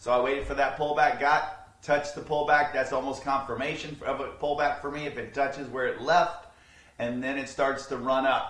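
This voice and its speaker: A man speaks in a monotone, flat way. His voice has audible room echo, with noticeable background noise behind it. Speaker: day trading educator. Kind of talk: tutorial. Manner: fast; casual.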